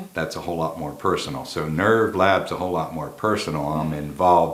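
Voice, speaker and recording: A man with a slight Philadelphia accent, very deep and low in pitch, fairly even intonation and a fairly quick pace, amid audible room echo and noticeable background noise. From US South, Texas (Dallas). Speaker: set designer and film producer. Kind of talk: interview.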